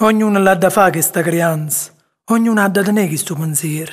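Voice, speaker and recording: This man's voice sits high. His delivery moves at a moderate speed. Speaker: actor. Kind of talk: poetry reading.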